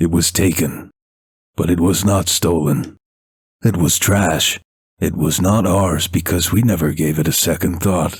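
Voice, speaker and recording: A man speaks in a put-on character voice, gruff and rumbling. His pitch is very deep and low, and his pace is fairly slow. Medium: read story. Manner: gruff, rumbling, unhurried.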